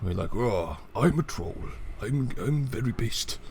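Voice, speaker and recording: A man puts on a character voice at a medium pitch. Clear background noise runs behind him. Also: moderate pace. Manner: exaggerated, boastful.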